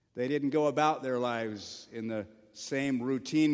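A man's normal speaking voice at medium pitch, with ordinary pitch variation and a moderate pace. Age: 50s. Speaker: pastor. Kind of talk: sermon.

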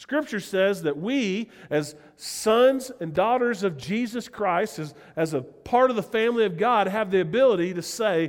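The speaker has a Southern US accent and lively intonation. The pace is moderate. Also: man. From US South. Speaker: pastor. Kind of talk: sermon. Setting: church.

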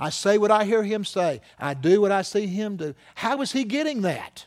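With an animated tone, a man talks in a high pitch. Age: 60s. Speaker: pastor. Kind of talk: sermon.

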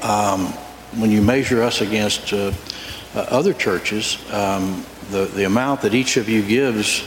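Through noticeable background noise comes a man's fairly low voice with fairly even intonation. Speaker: church elder. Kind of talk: testimony. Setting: church.

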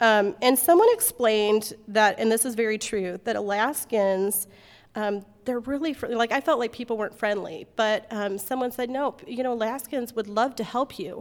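With an American accent, a woman speaks in a plain, everyday voice that sits fairly high, using ordinary pitch variation at a moderate pace. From US Midwest. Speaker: moms' group speaker. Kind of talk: inspirational talk. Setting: meeting room with audience.

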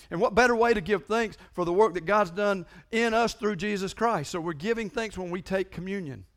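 A man with a high-pitched voice talks at a fairly quick clip in an animated tone, with ordinary pitch variation, hardly any pauses, and a very clean recording over a silent background. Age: 50s. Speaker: pastor. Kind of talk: sermon.

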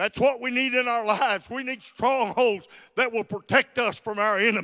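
Extremely high, bright and sharp, a man's raised, projected voice at a moderate pace with big swings in loudness, on a very clean recording against a silent background. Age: 70s. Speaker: visiting preacher. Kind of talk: sermon. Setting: church.

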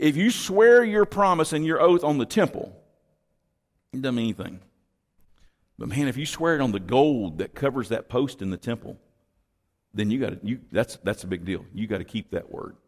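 In a very clean recording with a silent background, a man with an American accent talks at a medium pitch and a moderate pace, with long, frequent pauses. His voice has vocal fry and very wide pitch swings. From Texas. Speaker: pastor. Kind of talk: sermon. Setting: church. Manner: halting.

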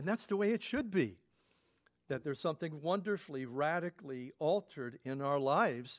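A man talks at a fairly quick pace with lively intonation and a fairly high pitch. He has an unremarkable speaking voice, heard in a dry, close sound with no echo. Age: 60s. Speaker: pastor. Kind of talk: sermon.

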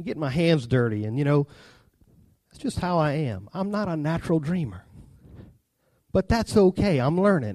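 With a Southern US accent, a man speaks at a moderate pace in a dark, mellow tone and fairly high pitch, taking long, frequent pauses. His pitch swings very widely and his loudness shifts a lot, over a quiet background. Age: 30s. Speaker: preacher. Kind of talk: sermon.

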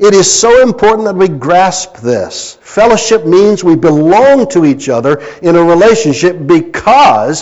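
Against noticeable background noise, a man with an American accent speaks at a high pitch and a fairly slow pace, his intonation lively. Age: 60s. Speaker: pastor. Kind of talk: sermon. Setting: church.

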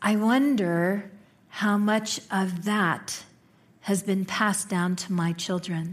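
A somewhat breathy voice with an American accent speaks at a very slow pace, with fairly even intonation and very even loudness. The recording is very clean, with a silent background. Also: woman, medium pitch for a woman. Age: 50s. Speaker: minister. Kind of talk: sermon. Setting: church.

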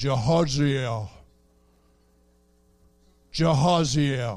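At medium pitch, a man puts on a character voice. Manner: booming, solemn.

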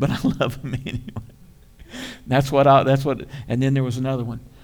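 There is audible room echo around a man's voice. He speaks at a moderate pace. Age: 60s. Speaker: pastor. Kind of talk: sermon. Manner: animated.

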